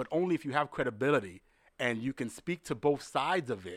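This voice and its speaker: With a New York accent, a man talks over a dry, close sound with no echo. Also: very clean recording, silent background. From New York City, the Bronx. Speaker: baseball league executive. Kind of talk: interview conversation. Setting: studio in Manhattan.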